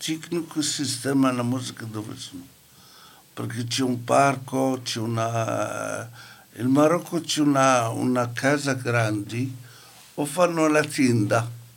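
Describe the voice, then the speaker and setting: A man's very slow delivery, long, frequent pauses, and ordinary pitch variation. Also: medium pitch for a man. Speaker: community radio participant. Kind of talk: casual chat.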